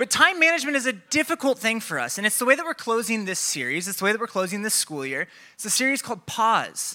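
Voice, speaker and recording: Raised and projected, a man's high, bright, sharp voice with an American accent races at a very fast pace with hardly any pauses, animated in tone and full of very wide pitch swings. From Iowa, Des Moines area. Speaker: pastor. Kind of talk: sermon.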